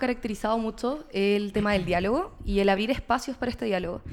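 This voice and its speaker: Here a woman speaks at a fairly quick pace with a fairly high pitch. She has an ordinary speaking voice with ordinary pitch variation. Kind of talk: political talk show interview.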